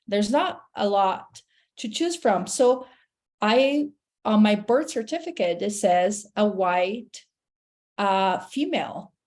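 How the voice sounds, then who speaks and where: Very slowly, a woman with a Portuguese accent speaks at a fairly high pitch with lively intonation against a quiet background. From Brazil, Sao Paulo. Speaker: therapist. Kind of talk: casual interview chat.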